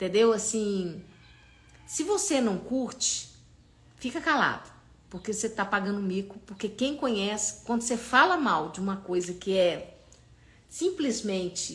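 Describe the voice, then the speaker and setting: A woman speaks at a fairly slow pace with an animated tone, her fairly high, somewhat breathy voice showing ordinary pitch variation. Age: 60s. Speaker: holistic therapist. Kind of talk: live stream talk. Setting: live stream.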